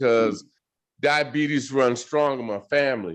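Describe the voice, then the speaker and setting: This man has a normal speaking voice pitched fairly high. He goes at a fairly slow pace with lively intonation. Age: 60s. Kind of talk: casual chat.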